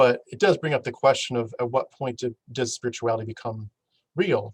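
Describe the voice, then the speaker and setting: Recorded dry and close with no echo, a man speaks at medium pitch in a somewhat breathy voice with ordinary pitch variation. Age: young. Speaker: podcast host. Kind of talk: casual chat. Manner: halting.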